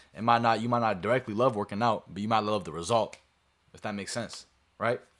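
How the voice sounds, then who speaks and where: Very fast, fairly even speech from a man at medium pitch. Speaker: streamer. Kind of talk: motivational talk to stream chat. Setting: live stream to camera.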